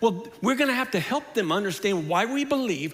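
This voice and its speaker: A man talks at a fairly quick pace, and the room echo is audible. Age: 60s. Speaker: pastor. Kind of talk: sermon.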